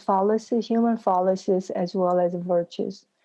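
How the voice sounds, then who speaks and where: The speech moves at a fairly slow pace, with a dark, mellow tone and fairly even intonation. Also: woman. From South Korea. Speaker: executive coach and author. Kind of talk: interview.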